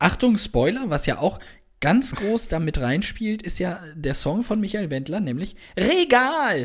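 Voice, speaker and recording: A man talks at a fairly slow pace with a high pitch and very wide pitch swings. The recording is very clean, with a silent background. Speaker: film podcast co-host. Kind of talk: casual chat.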